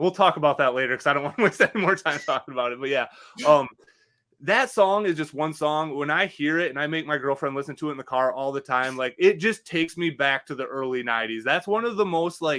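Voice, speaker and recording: A man's fairly high, bright, sharp voice with lively intonation at a very fast pace. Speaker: podcast co-host. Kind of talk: casual chat. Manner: fast, slurring words together.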